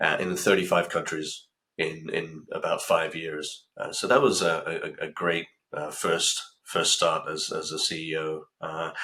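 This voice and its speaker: He speaks with a British accent. His pace is fairly slow. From UK. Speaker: pharma company CEO. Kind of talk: interview. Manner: halting, many fillers.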